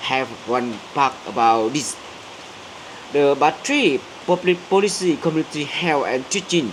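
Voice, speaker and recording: The speech is very slow, with ordinary pitch variation and noticeable background noise. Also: man. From central Vietnam. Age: 30s. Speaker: graduate student and community worker. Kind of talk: English speaking practice presentation. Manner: halting, many fillers and restarts.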